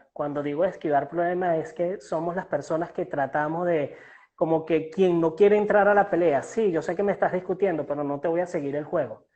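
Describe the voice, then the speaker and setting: Speaking with a Venezuelan accent, a man with a high-pitched voice keeps a fairly even intonation at a fairly quick pace. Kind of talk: interview answer. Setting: online call.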